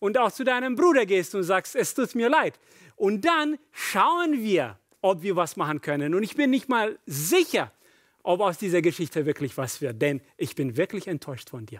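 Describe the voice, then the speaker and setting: A man with a high pitch and very wide pitch swings, the sound dry with no echo and the background quiet. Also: moderate pace. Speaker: pastor. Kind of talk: sermon. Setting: church. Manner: warm, personal, storytelling, animated. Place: church. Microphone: headset.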